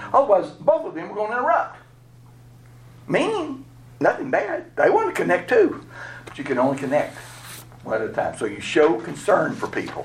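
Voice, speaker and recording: Noticeable background noise sits behind a man with a Southern US accent. He talks at a fairly quick pace, with long, frequent pauses. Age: 60s. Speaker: pastor. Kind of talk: workshop lecture. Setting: live session with small audience. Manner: conversational.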